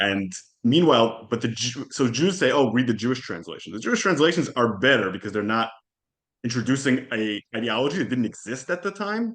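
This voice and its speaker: Lively, fairly quick speech from a man of medium pitch with an Israeli accent. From Israel, Jerusalem. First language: Hebrew. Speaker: historian and podcast host. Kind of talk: casual interview.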